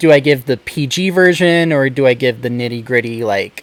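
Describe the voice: With an American accent, a man talks at a moderate pace in a medium pitch, his intonation fairly even.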